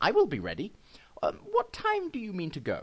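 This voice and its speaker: A man's put-on character voice at a moderate pace. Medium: read story. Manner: cheeky.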